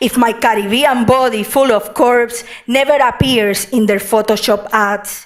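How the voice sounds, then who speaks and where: A woman speaks at a fairly slow pace with a Puerto Rican accent. Her pitch is fairly high, with ordinary variation. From Puerto Rico. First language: Spanish. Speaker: poet. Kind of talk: poetry reading.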